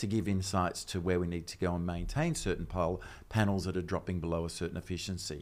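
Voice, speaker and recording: With an Australian accent, a man speaks in a very deep, low pitch. His pace is fairly quick and his intonation fairly even. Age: 60s. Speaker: technology strategist. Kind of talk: casual chat.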